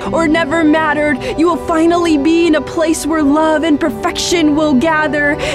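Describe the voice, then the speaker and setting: Over music in the background, a woman talks at a moderate pace with an extremely high pitch. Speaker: spoken word poet. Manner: earnest, preaching.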